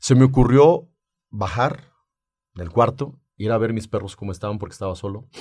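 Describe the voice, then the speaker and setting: In a very clean recording with a silent background, a man with a somewhat breathy, medium-pitched voice speaks at a moderate pace, with ordinary pitch variation and big swings in loudness. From Mexico, Aguascalientes (Rincón de Romos). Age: 40s. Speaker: entrepreneur, mechanical engineer. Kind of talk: interview testimony.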